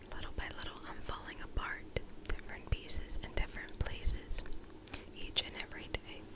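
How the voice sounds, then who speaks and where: A woman is whispering. Noticeable background noise runs underneath. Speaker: ASMR creator. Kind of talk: ASMR poetry reading. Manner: gentle, close whisper.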